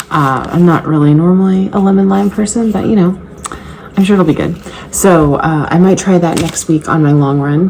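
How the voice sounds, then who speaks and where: A woman's fairly low-pitched voice at a moderate pace, fairly even intonation, and noticeable background noise. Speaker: fitness vlogger and trainer. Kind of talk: casual vlog. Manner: whispering.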